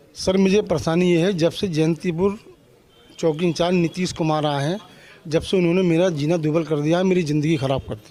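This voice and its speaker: Over noticeable background noise, a man speaks at a moderate pace with big swings in loudness. His pitch is high and his intonation fairly even. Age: 70s. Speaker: complainant. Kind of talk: testimony.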